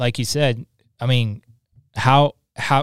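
A normal speaking voice at a fairly slow pace with fairly even intonation, captured as a very clean recording with a silent background and a dry, close sound with no echo. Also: man. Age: 20s. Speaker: podcast host. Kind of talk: casual chat. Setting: studio.

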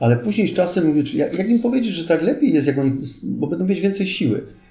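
Amid audible room echo, a man with a high pitch swings very widely in pitch. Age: 40s. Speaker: retired police officer, pilgrim. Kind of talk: casual interview.

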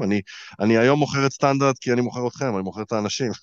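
A man is speaking. His pace is very fast. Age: 30s. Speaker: life coach and podcast host. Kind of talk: casual chat.

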